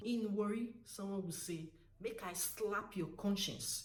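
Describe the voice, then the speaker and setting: With a Nigerian accent, a woman speaks at medium pitch in a somewhat breathy voice with lively intonation. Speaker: language tutor. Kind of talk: casual talk to camera.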